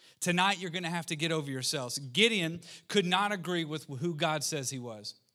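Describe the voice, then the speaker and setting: A man's bright, sharp, animated tone with lively intonation, a fairly high pitch and a fairly quick pace, amid audible room echo. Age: 30s. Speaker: pastor. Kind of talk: sermon.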